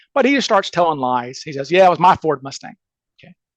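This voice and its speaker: In a Southern US accent, a man with a high-pitched voice comes through in a dry, close recording with no echo. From US South, Mississippi. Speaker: criminal defense attorney and amateur case researcher. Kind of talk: podcast interview. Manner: fast; animated.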